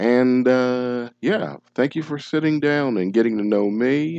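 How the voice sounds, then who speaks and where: A man's dark, mellow voice at a medium pitch, with lively intonation and a moderate pace. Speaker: gaming YouTuber. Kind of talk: casual gameplay commentary outro. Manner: halting, many fillers.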